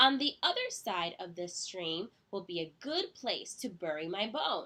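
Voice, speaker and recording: The speaker uses a put-on character voice. It moves at a moderate pace. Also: woman, medium pitch for a woman. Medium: read story.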